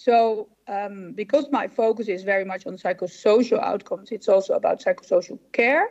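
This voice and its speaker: A woman speaks with a Dutch accent at a fairly high pitch. Her pace is moderate and her pitch varies in an ordinary way. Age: 60s. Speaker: psychologist and professor. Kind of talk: conference presentation. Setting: symposium stage with audience.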